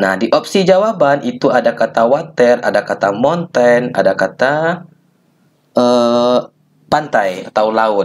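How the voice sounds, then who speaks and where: At a very slow pace, a man speaks with medium pitch and lively intonation. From Minangkabau, West Sumatra. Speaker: geography and economics teacher. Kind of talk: educational tutorial talk.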